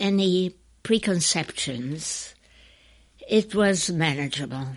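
A woman speaks at a very slow pace. Her intonation is lively. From Czechoslovakia. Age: 80s+. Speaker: care home resident. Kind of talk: interview. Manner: articulate.

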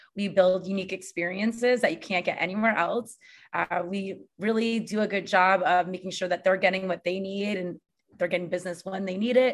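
A woman with a plain, everyday voice and an American accent, medium pitch, fairly even intonation and a fairly quick pace, on a very clean recording with a silent background. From Connecticut, US. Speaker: hospitality entrepreneur. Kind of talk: interview.

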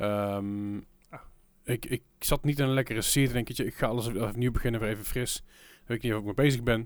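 The speaker moves at a fairly quick pace with big swings in loudness. The recording is very clean, with a silent background. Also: man, medium pitch for a man. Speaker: podcast host. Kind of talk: casual chat. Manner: rambling, halting with filler words.

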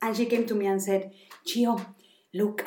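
A woman with a Spanish accent and a dark, mellow tone talks at a fairly quick pace. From Mexico. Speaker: podcast co-host, mother living abroad. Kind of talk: casual chat.

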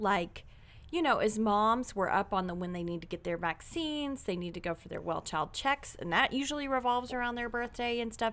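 An unremarkable speaking voice from a woman, fairly high-pitched and fairly quick, with lively intonation and hardly any pauses. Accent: American. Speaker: podcast host. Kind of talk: casual chat.

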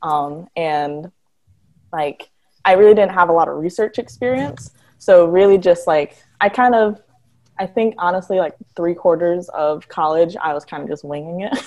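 A woman's normal speaking voice with an American accent, fairly low in pitch, ordinary pitch variation, and big swings in loudness. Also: moderate pace. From Detroit, Michigan. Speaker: marine biologist and sea turtle conservationist. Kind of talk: casual interview chat.

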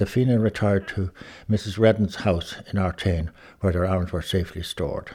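In a very clean recording with a silent background, a man with an Irish accent talks at a fairly quick pace, his fairly low voice dark and mellow with fairly even intonation. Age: 80s+. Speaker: son of a 1916 participant. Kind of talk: reading aloud and reminiscing. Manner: halting.

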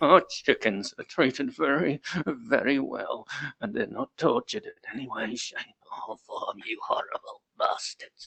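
A man speaks in a put-on character voice that is raspy and shaky. His delivery moves at a moderate pace. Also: big swings in loudness. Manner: quivering, slightly enraged.

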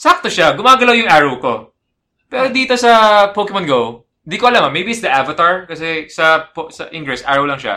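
Over a very clean recording with a silent background, a man projects a raised, high voice with a bright, sharp tone, very wide pitch swings and a fairly quick pace. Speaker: podcast co-host. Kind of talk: casual chat.

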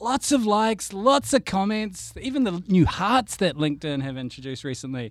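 On a very clean recording with a silent background, a man with a New Zealand accent speaks at a fairly slow pace with very wide pitch swings. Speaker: guest host. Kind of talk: casual chat.

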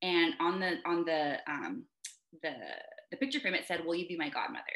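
This woman's voice sits fairly low in pitch and carries a bright, sharp tone. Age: 30s. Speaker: NICU nurse. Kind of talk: casual chat.

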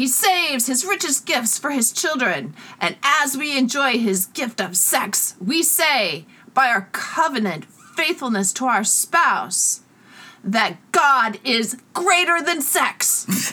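A put-on character voice, female-sounding, high in pitch and at a fairly slow pace. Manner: sermonizing, preacherly.

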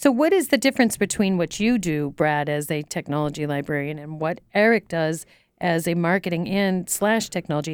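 A woman's fairly low voice at a fairly quick pace, lively intonation, very clean recording and silent background. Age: 50s. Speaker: podcast host. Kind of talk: casual chat. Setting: studio. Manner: animated.

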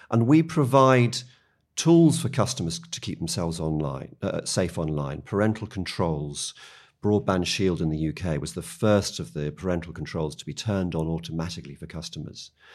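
A man with a very deep, low pitch and lively intonation in a British accent, in a very clean recording with a silent background. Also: moderate pace. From UK. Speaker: media policy executive. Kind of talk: podcast interview.

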